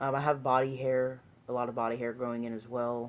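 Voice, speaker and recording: The man's intonation is monotone and flat at medium pitch. He keeps a moderate pace. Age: 20s. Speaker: vlogger sharing transition update. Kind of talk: casual video diary. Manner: hesitant, many fillers.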